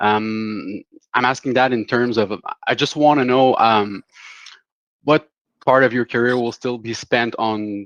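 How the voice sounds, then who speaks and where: In a French Canadian accent, a man speaks at a medium pitch with fairly even intonation and long, frequent pauses, his sound dry and close with no echo. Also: fairly slow pace. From Quebec, Canada. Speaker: investor asking questions. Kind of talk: question on group call. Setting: group call.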